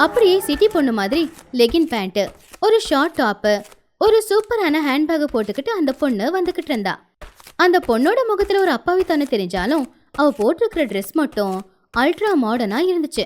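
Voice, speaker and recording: Her high-pitched voice swings very widely in pitch as this woman speaks. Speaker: voice actor. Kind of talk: animated moral story narration.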